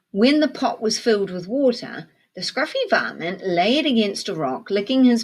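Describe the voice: Lively intonation over plain reading aloud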